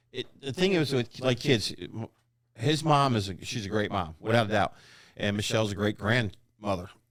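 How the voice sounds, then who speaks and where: A man's normal speaking voice with lively intonation at a moderate pace. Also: medium pitch for a man. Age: 60s. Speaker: retired Marine special operations sergeant. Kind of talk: casual chat.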